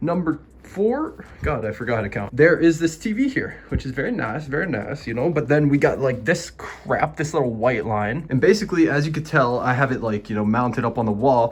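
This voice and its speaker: A man's fairly high voice, lively intonation, a fairly quick pace and hardly any pauses. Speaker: gaming YouTuber. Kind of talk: casual vlog tour. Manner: fast; animated.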